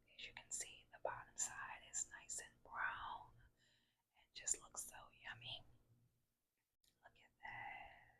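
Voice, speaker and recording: The voice is whispering at a very slow pace. Long pauses come often. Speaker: home cook. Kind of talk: cooking demonstration. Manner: whispered.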